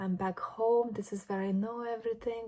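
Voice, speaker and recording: In a Lithuanian accent, a woman speaks with a dark, mellow tone at a moderate pace. Her intonation is fairly even, and the recording is very clean with a silent background. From Lithuania, moved to Ireland at twelve. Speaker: vlogger. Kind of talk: casual vlog monologue. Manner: reflective, conversational.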